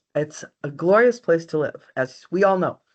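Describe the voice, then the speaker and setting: Against a quiet background, a woman speaks at a medium pitch and a moderate pace, her pitch swinging very widely. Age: 60s. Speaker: county register of deeds. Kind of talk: webinar presentation.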